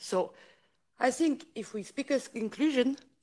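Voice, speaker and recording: This woman, with a French accent, talks at a fairly slow pace in a high voice with lively intonation. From France. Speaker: politician. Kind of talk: conference speech. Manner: halting.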